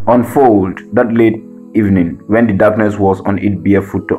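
A man with a West African accent, fairly low in pitch with ordinary pitch variation, and music in the background. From Gambia. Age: 20s. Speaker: spoken word poet. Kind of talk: spoken word poetry performance.

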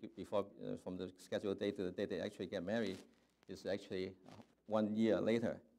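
Fairly quick pace and fairly even intonation. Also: man. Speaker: preacher. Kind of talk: sermon. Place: church.

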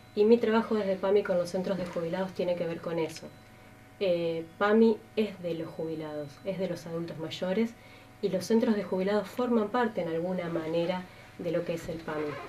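A woman at a medium pitch and moderate pace, with ordinary pitch variation and light background noise. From Argentina, Santa Fe province. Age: 30s. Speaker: political candidate; candidate. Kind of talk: interview. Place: studio.

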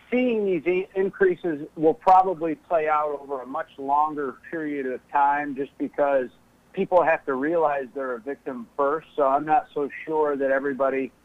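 Someone talks at a moderate pace with hardly any pauses. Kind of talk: interview answer. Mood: serious, warning tone. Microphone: phone line.

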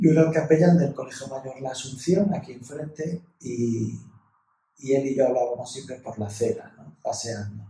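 A somewhat breathy voice with a dark, mellow tone, moderate pace, ordinary pitch variation and big swings in loudness, plus audible room echo. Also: man. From Ibiza, Spain. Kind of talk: casual interview chat. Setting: recording in a university residence. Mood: cheerful, animated. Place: meeting room.

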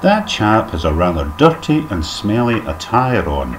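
Very wide pitch swings in a Scottish accent, over noticeable background noise. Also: man. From Scotland. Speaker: dialect teacher. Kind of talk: comedic language lesson narration. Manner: mock-formal, tongue-in-cheek. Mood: dry humorous. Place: home room. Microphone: webcam.

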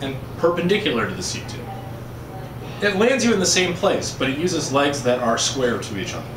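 Noticeable background noise runs through the clip. A man is speaking. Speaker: bike frame building instructor. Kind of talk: tutorial.

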